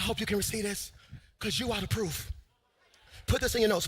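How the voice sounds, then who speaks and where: Here is a man with a high-pitched voice. His tone is energetic. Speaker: preacher / pastor. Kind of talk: sermon delivered to a live congregation. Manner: energetic, emphatic, call-and-response preaching style.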